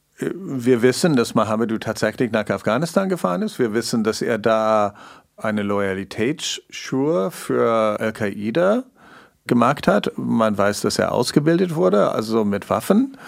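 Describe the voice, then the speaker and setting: A man with a non-native accent talks at a fairly slow pace in a medium pitch, with lively intonation. The recording is very clean, with a silent background. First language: not German (speaking German). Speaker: investigative journalist, co-host. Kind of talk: conversational documentary podcast.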